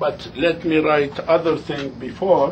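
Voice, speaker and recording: A man with a fairly high pitch speaks very slowly, with audible echo in the room. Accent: non-native. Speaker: religious teacher. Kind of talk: lecture. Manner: halting.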